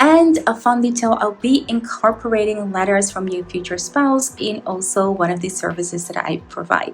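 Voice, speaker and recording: Music plays behind a woman speaking at a moderate pace. Her voice is fairly high with lively intonation. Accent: non-native. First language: not English. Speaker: tarot reader. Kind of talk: tarot reading to camera.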